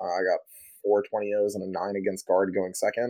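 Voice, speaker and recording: A man is speaking. His pitch sits fairly low. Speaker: podcast host and 40k player. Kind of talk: casual chat.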